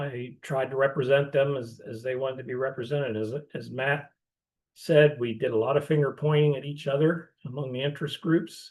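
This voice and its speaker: A man speaks with an American accent at a fairly high pitch. His voice is somewhat breathy, his pace moderate and his intonation fairly even. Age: 60s. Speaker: former dairy farmer and farm advocacy manager. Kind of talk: panel discussion in virtual session. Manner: hesitant, many fillers.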